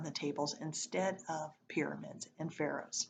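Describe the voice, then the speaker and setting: Her pitch sits very deep and low for a woman. Vocal fry is present throughout. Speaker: teacher reading aloud to students. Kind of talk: reading aloud.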